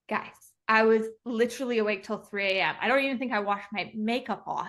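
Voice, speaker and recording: Delivered at a fairly quick pace, this is an ordinary speaking voice with fairly even intonation. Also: woman. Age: 30s. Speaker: entrepreneur. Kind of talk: interview.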